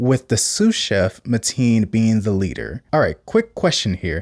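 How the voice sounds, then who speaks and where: In an American accent, a man with a plain, everyday voice uses lively intonation at a moderate pace, recorded very clean with a silent background and a dry, close sound with no echo. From US South. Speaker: YouTube commentator. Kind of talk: reaction commentary narration.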